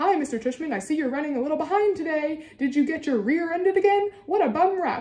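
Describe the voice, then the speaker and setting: A woman does a put-on character voice at an extremely high pitch. She talks at a fairly quick pace. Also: hardly any pauses. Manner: fake, mocking.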